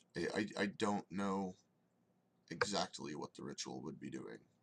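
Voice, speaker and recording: A man's put-on character voice, raspy and very deep, at a moderate pace. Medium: actual play.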